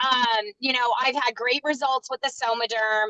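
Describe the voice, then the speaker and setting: A woman's high, raised and projected voice with a bright, sharp tone, ordinary pitch variation, and a dry, close sound with no echo. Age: 50s. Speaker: co-host of a women's health live show. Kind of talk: live video chat. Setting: live stream.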